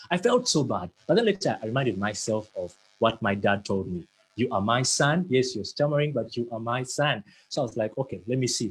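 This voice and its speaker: This man's voice sits at a medium pitch, somewhat breathy, with lively intonation. The sound is dry and close, with no echo. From Uganda. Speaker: motivational speaker. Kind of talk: motivational talk.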